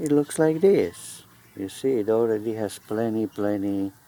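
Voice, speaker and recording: At a fairly slow pace, a man speaks in a medium pitch with a dark, mellow tone and lively intonation. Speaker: plant grower. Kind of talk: gardening tutorial.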